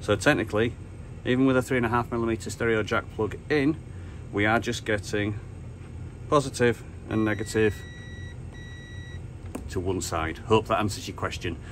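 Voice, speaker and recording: Pausing long and often, a man speaks in a fairly low pitch with ordinary pitch variation over light background noise. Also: moderate pace. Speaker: radio hobbyist. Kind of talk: tutorial.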